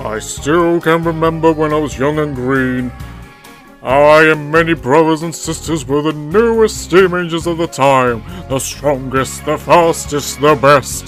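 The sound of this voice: Over clear background music, a man puts on a character voice pitched fairly high. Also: moderate pace.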